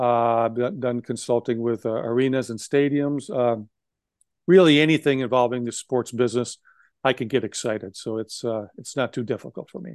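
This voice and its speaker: A man with an American accent and a normal speaking voice speaks at a moderate pace and medium pitch, his loudness swinging widely, in a dry, close sound with no echo and a quiet background. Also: ordinary pitch variation. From Wisconsin. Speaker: former sports executive and lawyer. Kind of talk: interview.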